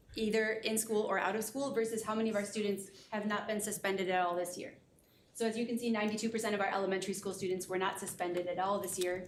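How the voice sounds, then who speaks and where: Against audible room echo, a woman speaks very fast with fairly even intonation. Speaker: school district assessment coordinator. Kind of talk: data presentation at board meeting. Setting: board room meeting.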